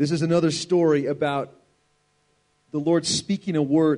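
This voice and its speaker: Dark and mellow, the voice belongs to a man. His pitch is fairly high. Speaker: preacher. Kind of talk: sermon.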